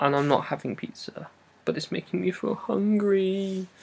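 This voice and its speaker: A fairly slow voice in an English accent. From England. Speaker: vlogger. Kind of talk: casual vlog monologue. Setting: at home wrapped in duvet.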